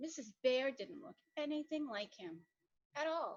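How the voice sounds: A woman speaks with a high pitch. Her pace is fairly slow. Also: lively intonation.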